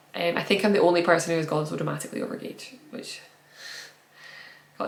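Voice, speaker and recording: Amid audible room echo, a woman speaks at a fairly quick pace with ordinary pitch variation. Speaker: knitting podcaster. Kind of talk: casual podcast monologue. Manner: fast.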